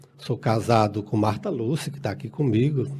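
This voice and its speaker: Somewhat breathy and dark, mellow in tone, a man talks at a moderate pace with a medium pitch and ordinary pitch variation. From Brazil, Ceará (rural Tabuleiro do Norte area). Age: 50s. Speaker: union leader and council candidate. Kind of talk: radio interview. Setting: radio studio. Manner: halting, frequent filler words.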